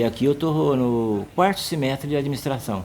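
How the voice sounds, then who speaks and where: Lively intonation marks this man's speech, which moves at a moderate pace. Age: 60s. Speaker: senior university student. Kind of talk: documentary interview. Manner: halting, repeats words.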